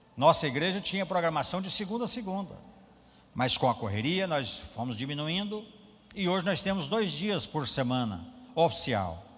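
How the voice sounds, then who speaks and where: A man speaks with a high pitch and very wide pitch swings. His pace is moderate, and room echo is audible. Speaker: pastor. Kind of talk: sermon.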